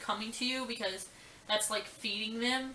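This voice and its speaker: A high-pitched woman at a moderate pace, with audible room echo and noticeable background noise. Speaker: vlogger. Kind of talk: casual storytelling vlog. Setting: at home. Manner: animated.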